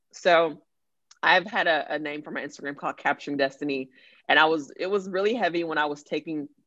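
This woman speaks with a Texan accent. Her pitch variation is ordinary. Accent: Texan American. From Dallas-Fort Worth, Texas. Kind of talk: casual chat.

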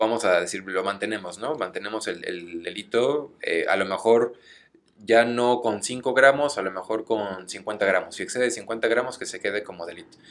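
The speaker has a Mexican accent and a moderate pace. Pitch variation is ordinary. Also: man, medium pitch for a man. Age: 20s. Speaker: lawyer. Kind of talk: casual chat.

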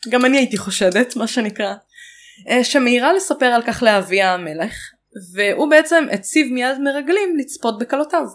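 Very wide pitch swings mark a woman's high-pitched voice at a moderate pace. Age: 20s. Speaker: podcast co-host. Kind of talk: casual history chat.

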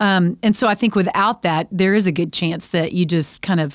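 This woman talks in a Texan accent with a fairly low pitch. The recording is very clean, with a silent background. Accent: Texan American. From Texas. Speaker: podcast host, women's ministry speaker. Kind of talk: casual faith conversation.

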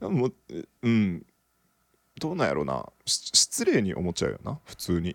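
Pausing long and often, a man speaks at a moderate pace with big swings in loudness, the sound dry and close with no echo. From Japan, Okinawa. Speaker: podcast co-host. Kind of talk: casual chat.

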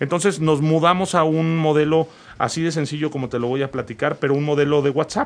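A man speaks in an ordinary speaking voice, fairly high in pitch, at a fairly quick pace. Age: 40s. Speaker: company founder. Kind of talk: interview.

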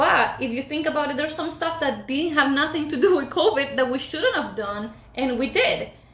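A woman's high-pitched voice with lively intonation, a moderate pace, hardly any pauses, and noticeable background noise. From Ecuador. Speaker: podcast host. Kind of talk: casual chat.

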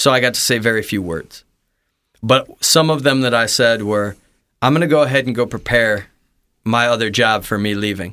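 A man with an American accent speaks at a moderate pace in a bright, sharp tone with ordinary pitch variation, captured in a very clean recording with a silent background. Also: medium pitch for a man. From US Midwest. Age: 30s. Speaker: pastor. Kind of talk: testimony. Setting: studio. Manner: talkative.

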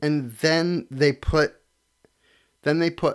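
A man speaks with an American accent. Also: very clean recording, silent background. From Connecticut. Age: 30s. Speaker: sports podcast host. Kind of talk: casual solo sports talk. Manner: casual, filler-heavy.

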